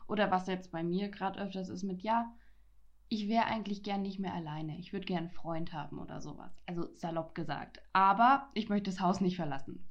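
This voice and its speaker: In an unremarkable speaking voice, the speaker moves at a fairly quick pace with ordinary pitch variation. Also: woman, medium pitch for a woman. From Franconia, Germany. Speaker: podcaster. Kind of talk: casual chat.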